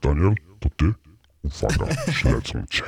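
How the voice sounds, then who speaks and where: A man puts on a character voice pitched very deep and low. He keeps a moderate pace, and the sound is dry and close with no echo. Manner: disguised, secretive.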